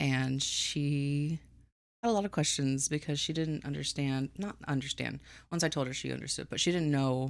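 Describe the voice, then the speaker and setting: On a very clean recording with a silent background, a woman mumbles softly at a fairly slow pace. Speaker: streamer writing a book. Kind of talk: casual live stream chat. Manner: quiet, soft-spoken; mumbling.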